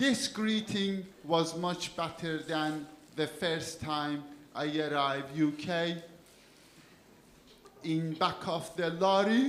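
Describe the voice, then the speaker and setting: Amid audible room echo and noticeable background noise, a man speaks very slowly at a high pitch with ordinary pitch variation and long, frequent pauses. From Iran. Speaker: comedian. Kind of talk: stand-up. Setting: stage with audience.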